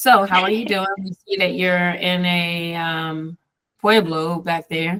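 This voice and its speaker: A woman speaks very slowly in a fairly low voice with fairly even intonation. The sound is dry and close, with no echo. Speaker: podcast co-host. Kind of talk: casual chat. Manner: expressive, commercial-style intonation.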